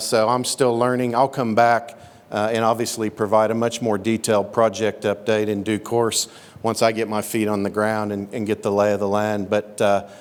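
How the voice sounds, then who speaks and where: Against noticeable background noise, a man with an American accent and a fairly low pitch speaks at a moderate pace. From Oklahoma. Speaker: mining company executive. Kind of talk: introductory speech at a meeting. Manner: halting, many fillers.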